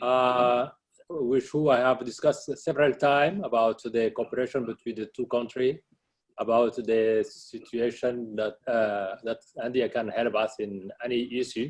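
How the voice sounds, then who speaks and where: Medium pitch from a man, fairly even intonation, and a moderate pace. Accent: French. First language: French. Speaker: central bank governor. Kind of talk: formal speech at a webinar. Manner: halting.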